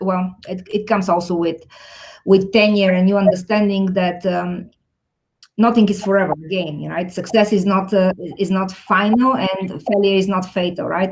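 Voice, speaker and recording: Somewhat breathy, a woman speaks at a medium pitch and moderate pace with fairly even intonation. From Bulgaria. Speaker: technology executive. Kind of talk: interview.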